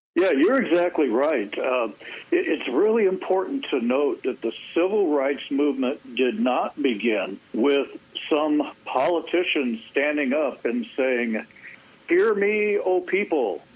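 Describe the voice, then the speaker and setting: A man talks at a fairly slow pace and a fairly high pitch, with very wide pitch swings and very even loudness. Noticeable background noise can be heard. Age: 60s. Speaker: public policy commentator. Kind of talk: radio interview. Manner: halting with fillers.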